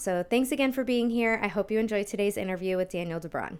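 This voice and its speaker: In a very clean recording with a silent background, a woman talks at a medium pitch with fairly even intonation. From US Northeast (Long Island, New York). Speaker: health podcast host. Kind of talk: podcast interview intro.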